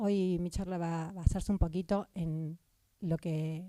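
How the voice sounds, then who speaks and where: With a Córdoba accent, the voice has a dark, mellow tone and sounds dry and close with no echo. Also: woman. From Argentina, Córdoba. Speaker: psychiatrist. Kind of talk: conference talk. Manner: halting, with fillers.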